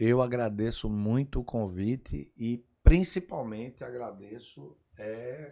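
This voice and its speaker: A man with a medium pitch and a dark, mellow tone speaks at a very slow pace with hardly any pauses and lively intonation, over a quiet background. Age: 60s. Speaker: pest control business owner. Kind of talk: podcast interview. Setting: studio.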